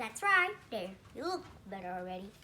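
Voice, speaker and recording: A woman puts on a character voice with a fairly high pitch. She moves at a moderate pace with very wide pitch swings. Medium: read story.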